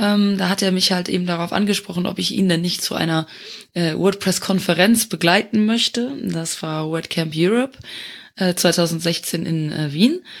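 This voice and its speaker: A woman's fairly low pitch and an unremarkable speaking voice at a moderate pace, with ordinary pitch variation, on a very clean recording with a silent background. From Luxembourg. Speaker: community manager. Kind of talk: casual chat.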